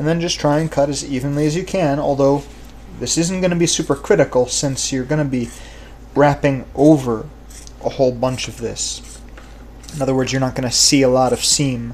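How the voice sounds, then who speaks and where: Over light background noise, a man talks at a fairly quick pace with fairly even intonation. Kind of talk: tutorial. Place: workshop. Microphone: camera far.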